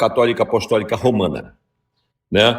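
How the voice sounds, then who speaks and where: The audio is very clean with total silence behind it. A man talks in a medium register. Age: 60s. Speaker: radio host. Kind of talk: heated debate.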